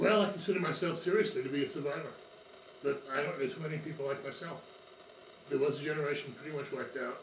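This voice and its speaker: Amid noticeable background noise and audible room echo, a man with a fairly high voice talks at a very fast pace with ordinary pitch variation and long, frequent pauses. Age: 60s. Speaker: college professor. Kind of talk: interview. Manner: halting.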